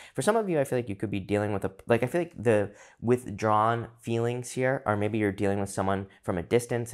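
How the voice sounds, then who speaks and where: A man's fairly low voice at a very fast pace with hardly any pauses, on a very clean recording with a silent background. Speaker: tarot reader. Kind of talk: tarot reading.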